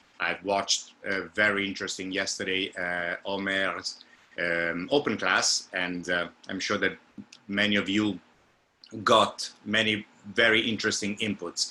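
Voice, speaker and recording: Fairly slow, fairly low-pitched man with an Italian accent, bright and sharp in tone, with monotone, flat intonation. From Italy. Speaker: opera singer and vocal coach. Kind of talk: lecture. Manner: halting.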